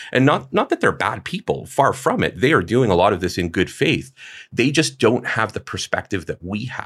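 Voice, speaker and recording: In a very clean recording with a silent background and a dry, close sound with no echo, a man at medium pitch speaks at a moderate pace with very wide pitch swings and vocal fry. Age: 30s. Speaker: HVAC designer and contractor. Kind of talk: casual chat.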